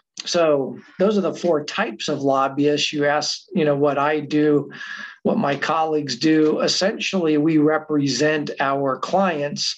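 The voice moves at a fairly slow pace with fairly even intonation. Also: man. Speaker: guest, adjunct professor. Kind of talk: lecture. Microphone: webcam.

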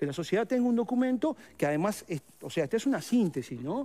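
A man's very fast, dark and mellow voice with very wide pitch swings. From Uruguay. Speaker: teachers' union leader. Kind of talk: interview. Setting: studio. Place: studio. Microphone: headset.

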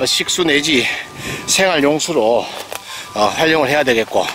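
A man is heard with a dry sound and no echo. Faint music plays in the background. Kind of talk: property walkthrough commentary. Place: open country. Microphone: phone near.

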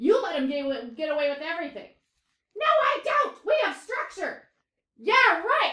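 A woman does a put-on character voice at an extremely high pitch, swinging very widely in pitch at a moderate pace. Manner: argumentative.

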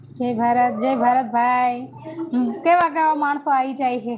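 Through noticeable background noise, a woman with a high pitch speaks with fairly even intonation. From north Gujarat, India (Radhanpur, Patan district). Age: young. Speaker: YouTuber live streamer. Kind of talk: casual live stream chat reading comments. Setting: live stream at home.

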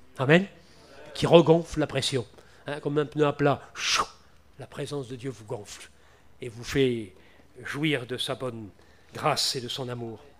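A man speaks at a fairly slow pace with long, frequent pauses. His pitch is fairly high with ordinary variation, and his loudness swings widely. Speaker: preacher. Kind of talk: evangelical sermon, Bible exposition turning into prayer. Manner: repetitive, emotional, moving to a pleading prayer.

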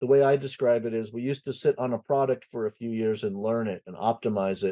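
Over a quiet background, a man talks at a fairly quick pace in a dark, mellow tone with ordinary pitch variation. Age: 60s. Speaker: IT consultancy president and conference founder; podcast guest. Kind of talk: casual interview chat. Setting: home music studio. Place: home room. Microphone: webcam.

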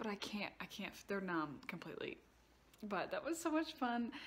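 A woman speaks in a Southern US accent. Her pace is moderate. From US South. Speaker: vlogger. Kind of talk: casual vlog monologue. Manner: animated. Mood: cheerful, chatty. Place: home room. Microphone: phone near.

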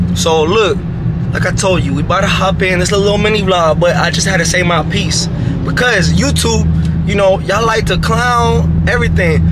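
Loud background noise under a man speaking at a moderate pace. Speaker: car vlogger. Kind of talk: casual vlog. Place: car. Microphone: phone near.

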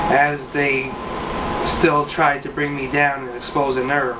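The man here speaks at a fairly slow pace. Loud background noise runs underneath. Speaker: poet. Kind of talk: spoken word poem, read aloud with rhyme. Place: home room. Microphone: webcam.

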